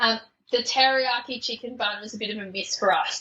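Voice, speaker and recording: A woman with a fairly high pitch, fairly quick pace and fairly even intonation. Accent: Australian. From Australia. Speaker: podcast guest, traveller. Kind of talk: casual interview chat. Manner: hesitant, many fillers.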